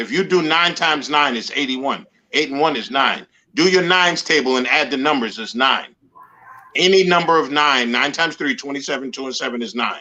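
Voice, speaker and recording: A man with an American accent talks at a fairly quick pace in an unremarkable speaking voice, his fairly high pitch showing ordinary variation. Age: 60s. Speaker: guest, show host and accountability coach. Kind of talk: casual chat.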